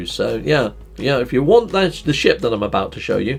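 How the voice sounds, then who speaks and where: Music plays in the background as a man talks. He speaks at a fairly quick pace with a Northamptonshire accent. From Northamptonshire, England.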